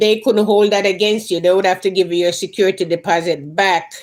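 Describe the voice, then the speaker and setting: A woman speaks with a Jamaican accent. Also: very clean recording, silent background. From Jamaica, Clarendon. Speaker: lifestyle and gardening YouTuber. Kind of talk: casual live stream chat.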